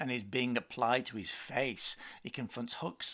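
With fairly even intonation, the clip offers plain reading aloud.

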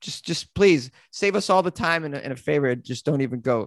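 In a Boston accent, the speaker goes at a moderate pace on a very clean recording with a silent background and a dry, close sound with no echo. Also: man. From Massachusetts. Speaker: comedian and podcaster. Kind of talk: casual chat.

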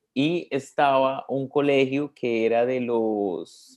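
A man speaks in a plain, everyday voice at medium pitch with ordinary pitch variation. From Colombia, Bogotá. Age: 20s. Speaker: religious brother. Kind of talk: interview.

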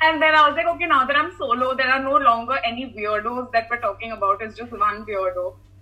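A woman speaks at a very fast pace in a high pitch, with ordinary pitch variation. Noticeable background noise runs behind her. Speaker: content creator. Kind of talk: casual interview.

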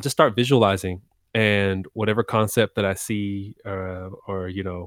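The intonation is monotone and flat, in a very clean recording with a silent background and a dry, close sound with no echo. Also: man. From Texas. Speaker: music producer and singer. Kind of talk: casual interview chat.

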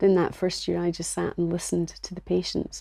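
A woman with a Scottish accent talks at a fairly quick pace, captured in a very clean recording against a silent background. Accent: Scottish, Edinburgh. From Scotland. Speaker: nurse and healthcare business founder. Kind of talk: interview.

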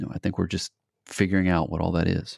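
Calm in tone, a man speaks at a very deep, low pitch in a dry, close sound with no echo. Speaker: adventure show host and founder. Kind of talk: interview.

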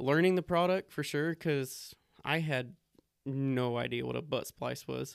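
Speaking at a fairly slow pace, a man has a fairly high pitch. The sound is dry and close, with no echo. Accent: West Texas. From Texas, Lubbock. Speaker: mobile hardware salesman. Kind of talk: casual chat.

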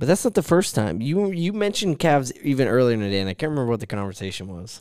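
The speaker races along at a very fast pace with very wide pitch swings and big swings in loudness, captured in a very clean recording against a silent background. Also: man, medium pitch for a man. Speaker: podcast co-host. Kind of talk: casual chat. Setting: studio.

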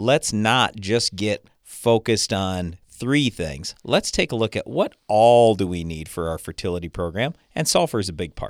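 A man with an American accent speaks in a plain, everyday voice, fairly low in pitch, with lively intonation and hardly any pauses. The recording is very clean, with a silent background. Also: moderate pace, dry, close sound with no echo. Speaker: agronomy radio host and farmer. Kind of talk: radio talk show. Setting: studio.

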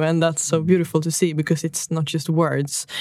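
A woman speaks with a Swedish accent in a dark, mellow tone. Her pitch is fairly low and her pace fairly quick. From northern Sweden. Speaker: podcast host. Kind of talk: interview.

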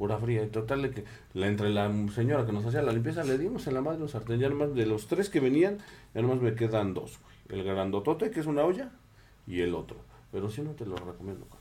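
This man's voice has a dark, mellow tone at a medium pitch, with lively intonation and a fairly quick pace. Audible room echo surrounds it. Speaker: podcast co-host. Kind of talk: casual chat. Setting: studio with camera.

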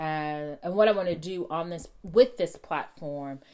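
A woman with fairly low pitch, ordinary pitch variation and an animated tone. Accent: Texan. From Texas. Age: 40s. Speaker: real estate agent. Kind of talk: solo podcast monologue.

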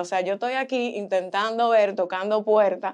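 A woman speaks in a normal speaking voice at a fairly high pitch and a moderate pace. Her pitch varies in an ordinary way against a quiet background. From Boston, US, Dominican parents. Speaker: model and communications student. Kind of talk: casual chat. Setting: studio.

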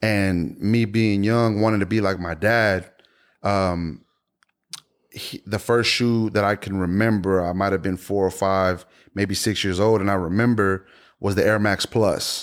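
Over a very clean recording with a silent background, a man with an American accent speaks at a fairly slow pace, his fairly low pitch staying monotone and flat. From Houston, Texas (Spring Branch). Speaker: sneaker enthusiast. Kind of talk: casual chat.

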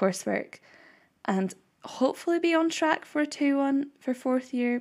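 On a very clean recording with a silent background, a woman speaks in a normal speaking voice at a moderate pace with lively intonation. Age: 20s. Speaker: podcast host and university student. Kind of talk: casual solo chat.

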